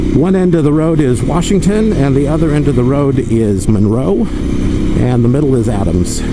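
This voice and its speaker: A man speaks at a moderate pace in a fairly high pitch, his loudness very even and his pitch swinging very widely, with noticeable background noise. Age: middle-aged. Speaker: motorcycle vlogger. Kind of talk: casual ride narration.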